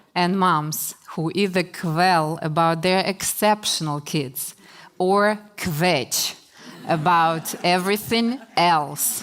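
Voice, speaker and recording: This woman talks at a very slow pace in a fairly low voice. Her loudness stays very even while her pitch varies in an ordinary way. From Russia (Chelyabinsk, former Soviet Union). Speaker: author. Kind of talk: talk to an audience.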